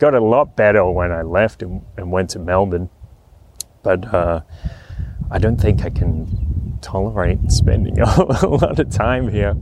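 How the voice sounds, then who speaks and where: Over noticeable background noise, a man talks fairly slowly in a very deep, low pitch. His intonation is lively. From Australia, New South Wales. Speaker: podcaster. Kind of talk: solo monologue podcast. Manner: casual, chatty.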